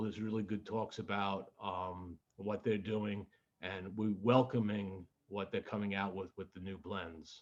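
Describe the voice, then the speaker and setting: An unremarkable speaking voice moves at a moderate pace, its loudness swinging widely. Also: man. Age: 60s. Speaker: podcast host. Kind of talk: news reading; casual chat.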